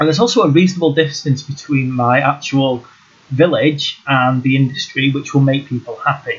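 A man with a British accent and a fairly high pitch talks at a fairly quick pace. His intonation is fairly even, and noticeable background noise can be heard. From UK. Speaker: gaming YouTuber. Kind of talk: gameplay tutorial.

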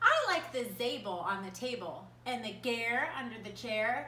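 A woman speaks with a high pitch in an animated, playful, sing-song way. Room echo is audible. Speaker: preschool art teacher. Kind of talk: children's story time, reading a picture book aloud to preschoolers. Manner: animated, sing-song, playful; warm, slow and coaxing, asks questions to the children. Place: home room. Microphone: phone near.

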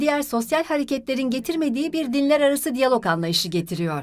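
Speaking at a fairly quick pace, a woman has a high pitch with very wide pitch swings. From Los Angeles, US. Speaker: religious studies lecturer and doctoral candidate. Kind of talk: interview testimony.

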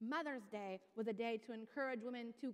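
Here a woman speaks at a fairly slow pace. Her background is quiet. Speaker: pastor. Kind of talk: sermon. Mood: earnest, passionate. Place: church. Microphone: headset.

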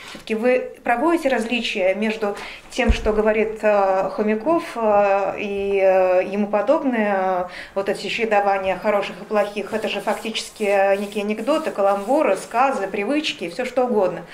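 With light background noise behind her, a woman uses a plain, everyday voice. She speaks at medium pitch with ordinary pitch variation. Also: moderate pace. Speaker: interviewer. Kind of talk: interview. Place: cafe.

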